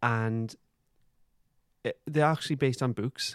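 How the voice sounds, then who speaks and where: A man with a Geordie accent at a fairly slow pace, ordinary pitch variation, and a dry, close sound with no echo. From Newcastle, northeast England. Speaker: podcast co-host. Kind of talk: casual chat; episode plot recap.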